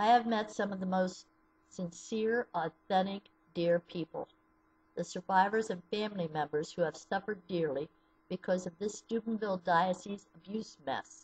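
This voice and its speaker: A somewhat breathy woman with an American accent, ordinary pitch variation and a moderate pace. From US Midwest (southeastern Ohio). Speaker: abuse survivor advocate. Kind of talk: personal testimony. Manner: read from a script. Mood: serious, sorrowful, earnest. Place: home room. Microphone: webcam.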